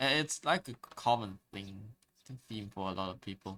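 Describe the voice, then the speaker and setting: A man with fairly low pitch, a bright, sharp tone and a moderate pace. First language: Chinese. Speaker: streamer. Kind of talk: casual chat. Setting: live stream. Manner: halting.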